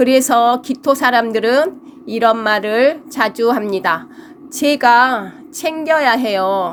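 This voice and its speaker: A woman with a high voice speaks very slowly, her pitch varying in an ordinary way. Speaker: fortune teller. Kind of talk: lecture. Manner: halting.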